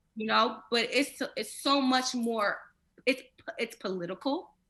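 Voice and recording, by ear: With a bright, sharp tone and fairly high pitch, a woman speaks at a fairly slow pace, using ordinary pitch variation.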